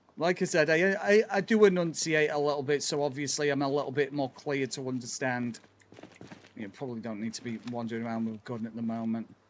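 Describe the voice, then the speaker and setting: Over noticeable background noise, a man talks very fast. His intonation is lively, and his loudness swings widely. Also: fairly high pitch for a man. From northwest England, Chester. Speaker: gaming streamer. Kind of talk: casual livestream chat while gaming. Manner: clear, enunciated.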